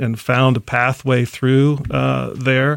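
A man with an American accent and a plain, everyday voice, medium pitch, fairly even intonation, dry and close with no echo. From Columbus, Ohio. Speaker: coffee company founder. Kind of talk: interview.

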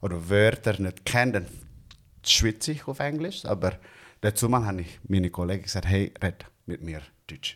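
Long, frequent pauses mark the speech of a man with an Indonesian accent, heard in a very clean recording with a silent background. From Indonesia, Bandung. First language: Indonesian (speaking German). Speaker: barista. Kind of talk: casual chat.

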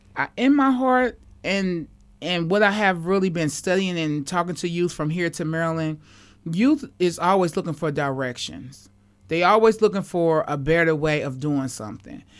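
On a very clean recording with a silent background, a woman with an American accent uses an ordinary speaking voice, fairly low in pitch, at a moderate pace with lively intonation. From Kansas City, Missouri. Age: 40s. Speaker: community activist. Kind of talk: radio interview.

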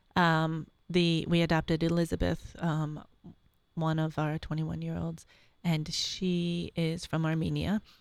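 At a fairly slow pace, a woman with a fairly low pitch speaks in an unremarkable speaking voice, captured in a very clean recording with a silent background. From Syracuse, New York. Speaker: mother of a large family. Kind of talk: interview, personal testimony. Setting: studio.

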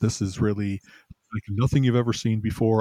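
A somewhat breathy man speaks at a moderate pace in a dark, mellow tone with fairly even intonation, the sound dry and close with no echo. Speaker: podcast co-host. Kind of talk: casual podcast chat. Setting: remote call. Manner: quiet.

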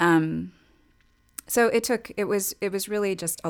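At a moderate pace, a woman talks in a normal speaking voice in a very clean recording with a silent background. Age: 40s. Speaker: entrepreneur. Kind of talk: casual chat.

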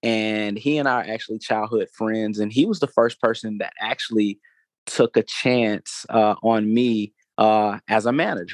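A man with an Atlanta accent speaks at medium pitch and a moderate pace, with fairly even intonation. The sound is dry and close with no echo, over a quiet background. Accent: Southern US (Atlanta). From US South, Atlanta, Georgia. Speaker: music entrepreneur and foundation founder. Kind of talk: interview. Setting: studio. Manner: halting, many repetitions and fillers.

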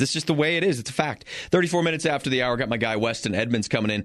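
A quiet background frames this man's lively intonation. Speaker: radio sports talk host. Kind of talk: live radio sports talk, casual banter. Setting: radio studio. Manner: animated, rapid, conversational, with stumbles and repeats.

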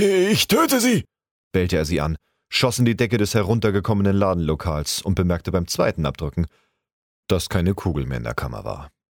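A man's very deep, low voice with vocal fry and lively intonation, at a fairly quick pace, in a dry, close, echo-free and very clean recording with a silent background. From Hamburg, northern Germany. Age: 30s. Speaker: amateur voice actor. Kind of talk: reading aloud.

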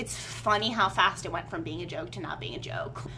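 A woman is speaking in a room with audible echo. Noticeable background noise can be heard. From Virginia, US South. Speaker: poet. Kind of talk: interview. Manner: halting, with many repetitions and fillers.

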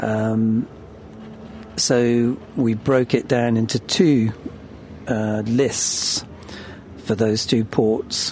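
Over noticeable background noise, a man with a British accent and medium pitch speaks very slowly in a monotone, flat intonation, with long, frequent pauses and very even loudness. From Britain. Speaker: boat owner and crew member. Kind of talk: casual interview.

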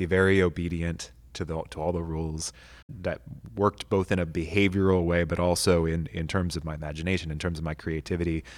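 A man's very fast, monotone, flat speech at a very deep, low pitch, with an American accent, in a very clean recording with a silent background. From North Texas (Amarillo). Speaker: pastor and high school teacher. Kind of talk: casual interview chat.

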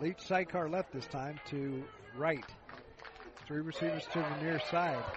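A man with an American accent, fairly high pitch and fairly even intonation, with long, frequent pauses and noticeable background noise. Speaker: college football play-by-play announcer. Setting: stadium broadcast booth. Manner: brisk, rhythmic play calling, ramps up on big plays; casual, conversational, with frequent uh fillers and self-corrections.

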